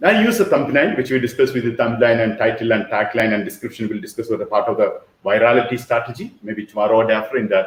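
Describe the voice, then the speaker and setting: Very fast speech from a man at medium pitch, with ordinary pitch variation and hardly any pauses. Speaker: online business mentor. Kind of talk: workshop lecture.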